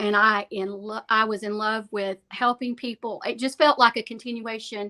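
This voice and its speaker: In a very clean, dry, close recording with a silent background and no echo, a woman with a Southern US accent talks at a moderate pace in a fairly high, bright, sharp voice with fairly even intonation. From Alabama. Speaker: real estate agent. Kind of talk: interview.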